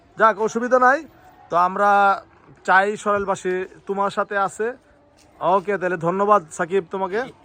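A man speaks in a high, raised and projected voice with a bright, sharp tone. His intonation stays fairly even. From Bangladesh, Sarail, Brahmanbaria. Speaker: video blogger. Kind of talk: casual interview.

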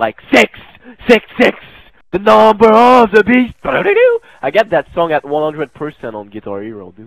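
A man with a French-Canadian accent speaks at a high pitch with very wide pitch swings. His pace is fairly slow. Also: big swings in loudness. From French Canada. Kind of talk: casual gaming chat. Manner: random, unfiltered.

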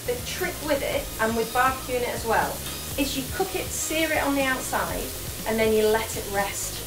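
A woman is speaking with noticeable background noise. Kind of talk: casual cooking chat to a live audience. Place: kitchen.

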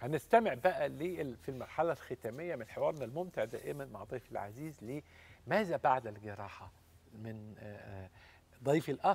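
At a fairly slow pace, a man with a fairly high pitch speaks with lively intonation, big swings in loudness and a somewhat breathy voice. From Egypt. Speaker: TV health show host, doctor; TV health show host. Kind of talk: talk show interview. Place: studio. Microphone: lapel.

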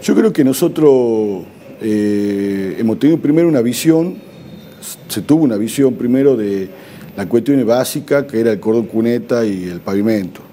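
At a moderate pace, a man with a medium pitch speaks with lively intonation over light background noise. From Argentina. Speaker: provincial government official, former legislator. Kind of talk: TV interview. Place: studio. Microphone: lapel.

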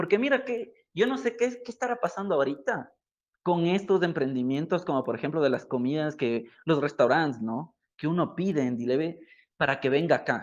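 A man at a fairly high pitch with very wide pitch swings, a moderate pace and a quiet background. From Ecuador. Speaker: digital marketing educator. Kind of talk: live stream talk. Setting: online live stream.

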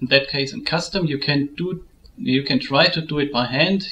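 Moderate pace with ordinary pitch variation in a German accent, over light background noise. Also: man. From Germany. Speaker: photo editing tutorial maker. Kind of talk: tutorial. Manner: halting.

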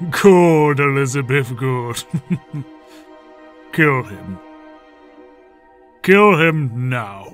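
Over faint background music, a man of medium pitch speaks very slowly with lively intonation and long, frequent pauses. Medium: machinima. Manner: insidious, urging.

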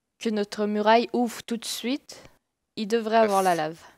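Fairly high female voice, fairly slow, with ordinary pitch variation, in a very clean recording with a silent background and a dry, close sound with no echo. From Quebec, Saguenay. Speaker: gamer. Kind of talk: casual chat.

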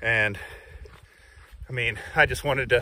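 A man with a bright, sharp tone, a moderate pace and ordinary pitch variation.

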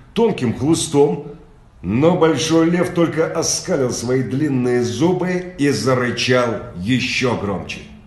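A man's fairly high voice at a very slow pace, with audible room echo. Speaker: audiobook reader. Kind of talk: children's story reading. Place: home room. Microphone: phone near.

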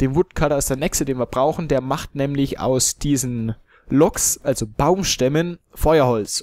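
A man's medium-pitched voice with a Franconian accent. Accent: Franconian German, noticeable. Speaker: let's play gamer. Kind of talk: gameplay commentary. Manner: casual, hesitant with fillers.

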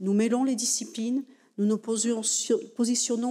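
Against a quiet background, a woman speaks at a fairly slow pace. Her tone is dark and mellow, with fairly even intonation. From France. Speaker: university president. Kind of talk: formal speech. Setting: lecture hall with audience. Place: hall. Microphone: podium.

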